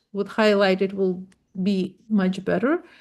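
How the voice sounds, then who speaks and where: A woman with a non-native accent speaks at a medium pitch and a fairly slow pace. Her intonation stays fairly even against a quiet background. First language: not English. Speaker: web developer. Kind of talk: tutorial. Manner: halting.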